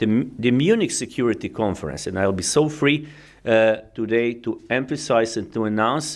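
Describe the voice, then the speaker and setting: A man with a Croatian accent speaks at a moderate pace in a medium pitch. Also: ordinary pitch variation, very clean recording, silent background. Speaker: diplomat. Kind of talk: keynote speech. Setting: conference with audience. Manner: halting, many fillers.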